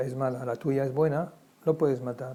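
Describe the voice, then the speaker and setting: A man with a German accent has a dark, mellow tone at medium pitch. His intonation stays monotone and flat. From Germany, Frankfurt. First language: German (speaking Spanish). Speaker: Holocaust survivor. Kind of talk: testimony interview. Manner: halting, many repetitions.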